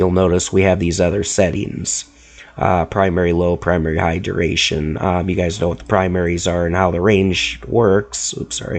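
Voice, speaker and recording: With noticeable background noise, a man speaks at a very deep, low pitch with ordinary pitch variation. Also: moderate pace. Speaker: product instructor. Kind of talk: tutorial. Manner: hesitant, with fillers.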